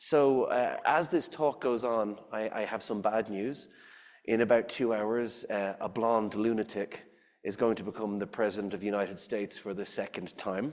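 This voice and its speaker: This man speaks at a medium pitch. His pace is moderate, and his pitch varies in an ordinary way. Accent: Irish. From Ireland. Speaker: scientist and science writer. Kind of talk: public lecture.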